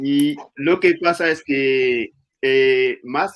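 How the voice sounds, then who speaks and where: The man speaks at a fairly high pitch in an Ivorian accent. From Ivory Coast. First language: Anyi (speaking Spanish). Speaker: speaker on his home country's culture. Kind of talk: public talk interview. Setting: literature festival talk. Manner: halting, many fillers.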